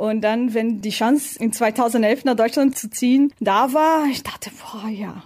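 A woman with a Portuguese accent talks at a fairly high pitch against noticeable background noise. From Brazil. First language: Portuguese (speaking German). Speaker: tire test driver. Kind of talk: interview.

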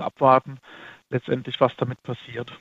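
A man speaks in a dry, close sound with no echo. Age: 30s. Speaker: fund manager. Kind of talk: interview. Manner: halting.

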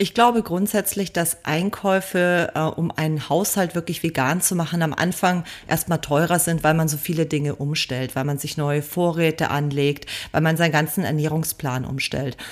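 Very deep, low-pitched woman's voice at a moderate pace, with ordinary pitch variation. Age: 40s. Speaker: vegan food blogger and cookbook author. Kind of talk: interview.

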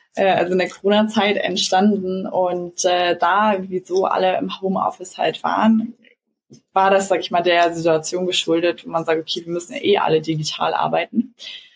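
A woman with a medium pitch and ordinary pitch variation speaks at a fairly quick pace. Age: 20s. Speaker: startup co-founder. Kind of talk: interview. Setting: video call. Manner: hesitant, many fillers.

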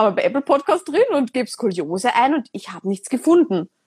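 A woman is speaking. Her pitch swings very widely. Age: 20s. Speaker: podcast host. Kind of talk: casual interview on Instagram live. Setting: Instagram live recording. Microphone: poor sound quality.

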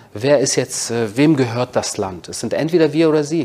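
Noticeable background noise sits behind a man who talks at a moderate pace, his pitch varying in an ordinary way. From Berlin, Germany. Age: 40s. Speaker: author and military spokesman. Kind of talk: interview.

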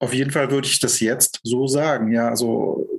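At a moderate pace, a man with a fairly high pitch speaks in a fairly even intonation. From East Germany, Lusatia. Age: 40s. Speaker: end-of-life companion and life coach. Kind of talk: personal interview testimony.

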